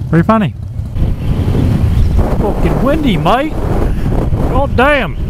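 Over loud background noise, a man speaks very slowly in a high voice with very wide pitch swings, the sound dry with no echo. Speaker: motorcycle vlogger. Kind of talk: angry rant over road footage, ranting with swearing and sarcastic commentary. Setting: riding on a motorcycle, commenting on helmet-cam footage. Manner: irate, sarcastic, swearing, exasperated shouting at bad drivers. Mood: sarcastic, irritated at traffic. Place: motorbike. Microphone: helmet.

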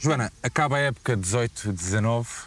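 A man speaks at a medium pitch. The recording is dry, with no echo. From Portugal. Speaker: sports channel interviewer; interviewer. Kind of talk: interview. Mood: relaxed, friendly. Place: open country. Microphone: lapel.

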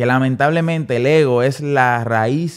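A man talks at a medium pitch with ordinary pitch variation. It is an ordinary speaking voice. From Dominican Republic, San Pedro de Macorís. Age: 30s. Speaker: music producer. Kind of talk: casual interview.

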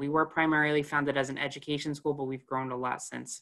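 A man speaking at a very fast pace over a quiet background. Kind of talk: presentation to prospective students. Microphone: webcam.

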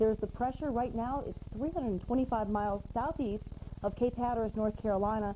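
Over light background noise, a woman talks in a normal speaking voice, fairly high in pitch, at a moderate pace with ordinary pitch variation. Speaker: weather forecaster. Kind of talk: TV weather forecast. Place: studio. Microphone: lapel.

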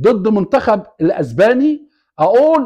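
A man with an Egyptian accent and very wide pitch swings, over a quiet background. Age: 60s. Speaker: YouTube commentator. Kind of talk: casual monologue. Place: home room. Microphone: lapel.

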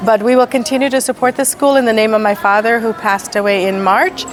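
A woman's fairly high-pitched voice with ordinary pitch variation, over noticeable background noise. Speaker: school benefactor. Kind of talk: ceremony speech. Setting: school event with audience.

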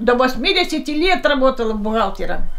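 Lively intonation fills a woman's high-pitched voice. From Russia. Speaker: elderly interviewee. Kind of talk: interview answer. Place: home room.

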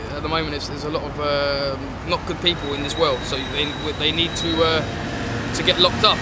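A man speaks at a fairly quick pace over loud background noise. The sound is dry with no echo. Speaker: interviewee. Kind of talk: interview answer. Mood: firm, opinionated. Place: street.

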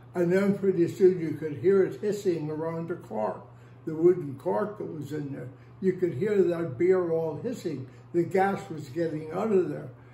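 With an American accent, a man with a high pitch speaks at a moderate pace with ordinary pitch variation and big swings in loudness, in audible room echo. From Northern Ireland, Belfast. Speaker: oral history interviewee; interviewee. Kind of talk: oral history interview storytelling. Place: home room. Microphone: phone near.

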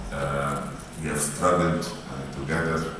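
Strong room echo surrounds a man speaking amid noticeable background noise. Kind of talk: formal speech. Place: hall. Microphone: pa.

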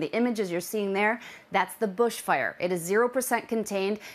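Her pace fairly quick, a woman speaks with ordinary variation in pitch. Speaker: weather forecaster. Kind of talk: news weather report, delivered in a polished broadcast style. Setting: studio. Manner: brisk, urgent and clear, with an authoritative, serious tone. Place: studio. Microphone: lapel.

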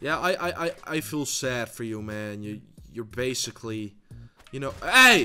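A man with a medium-pitched voice speaks at a fairly slow pace with lively intonation while music plays in the background. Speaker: gaming YouTuber. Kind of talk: gameplay commentary. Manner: loud, shouting; animated.

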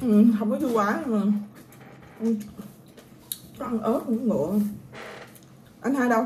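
Fairly slow and broken by long, frequent pauses, a woman talks at a fairly high pitch with ordinary pitch variation. Light background noise sits behind her. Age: 20s. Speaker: vlogger. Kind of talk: casual eating vlog. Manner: animated. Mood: playful, mock complaint. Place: home room. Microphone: phone near.

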